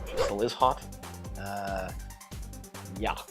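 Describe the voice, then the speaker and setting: Over music in the background, a man with a South African accent talks at a moderate pace. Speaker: YouTuber. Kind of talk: casual talk to camera.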